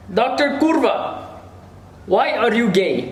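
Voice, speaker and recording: With audible room echo and noticeable background noise, a man talks in very wide pitch swings. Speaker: YouTuber. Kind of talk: casual Q&A video.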